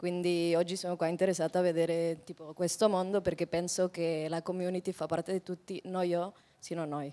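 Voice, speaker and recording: Her pitch fairly low, a woman speaks in a dark, mellow tone with monotone, flat intonation. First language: not Italian (speaking Italian). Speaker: community member, attendee; audience member. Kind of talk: self-introduction at a conference. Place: hall. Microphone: handheld.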